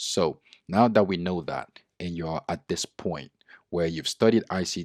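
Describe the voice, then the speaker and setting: On a very clean recording with a silent background and a dry, close sound with no echo, a man with a non-native accent speaks at a fairly slow pace with a very deep, low pitch. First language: not English. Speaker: trading educator and user researcher. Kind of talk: tutorial.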